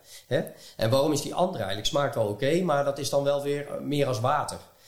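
Speaking very fast, a man lets his pitch vary in an ordinary way. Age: 40s. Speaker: podcast host. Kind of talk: casual interview. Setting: at guest's home. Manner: halting.

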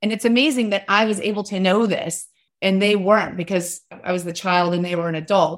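Delivered at a fairly quick pace, a plain, everyday voice keeps a fairly even intonation. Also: woman, medium pitch for a woman. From US South, West Virginia. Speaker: author and parenting advocate. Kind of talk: interview conversation.

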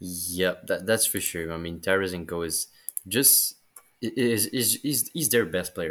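A man speaks at a fairly slow pace. His pitch is very deep and low, with ordinary variation. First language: French. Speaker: hockey journalist. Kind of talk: casual chat. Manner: halting.

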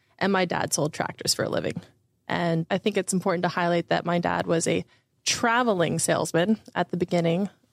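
A woman with an American accent speaks at a fairly quick pace, her pitch fairly low and edged with vocal fry. Her loudness stays very even. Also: fairly even intonation, dry, close sound with no echo. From Florida, Orlando area. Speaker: investor relations and marketing director. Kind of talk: interview.

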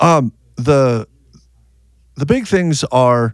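A man's medium-pitched voice with ordinary pitch variation, dry and close with no echo, on a very clean recording against a silent background. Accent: American. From US Upper Midwest, North Dakota. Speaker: auto repair shop owner. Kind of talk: interview.

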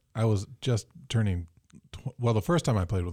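A man with an American accent at a very fast pace, his dark, mellow tone somewhat breathy with ordinary pitch variation, dry and close with no echo on a very clean recording with a silent background. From Michigan. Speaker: keyboardist. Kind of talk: casual chat. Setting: studio.

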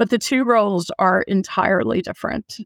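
With an American accent and vocal fry, the speaker uses lively intonation at a moderate pace, on a very clean, dry, close recording with no echo and a silent background. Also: woman. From United States. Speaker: product manager. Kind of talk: interview.

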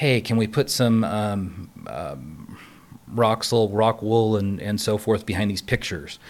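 With an American accent, a man of fairly low pitch talks in a plain, everyday voice at a fairly slow pace and ordinary pitch variation, on a very clean recording with a silent background. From Los Angeles. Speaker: production sound mixer. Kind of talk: casual chat.

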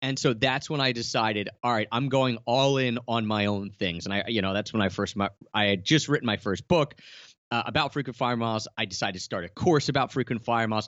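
At a fairly quick pace, a man talks in a plain, everyday voice at a medium pitch with ordinary pitch variation. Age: 30s. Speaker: travel blogger and podcaster. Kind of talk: interview.

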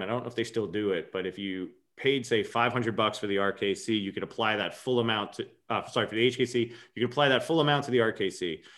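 At a very fast pace, the speaker talks with an American accent and ordinary pitch variation. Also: man. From New York, Long Island. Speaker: kettlebell coach and gym owner. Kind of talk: casual chat.

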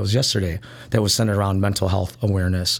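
In a Chicago accent, a man with a fairly low pitch and vocal fry talks very fast, his intonation fairly even. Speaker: nightlife promoter. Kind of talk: casual interview.

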